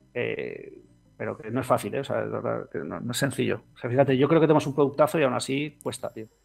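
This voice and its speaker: Music plays behind a man talking at a very fast pace. His loudness swings widely. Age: 40s. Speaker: fintech co-founder. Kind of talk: interview. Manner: animated.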